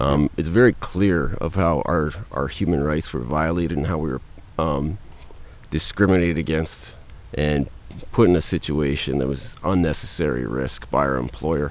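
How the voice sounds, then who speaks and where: Vocal fry marks a man's very deep, low voice, which has ordinary pitch variation and a moderate pace. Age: 40s. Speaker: former firefighter. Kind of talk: interview.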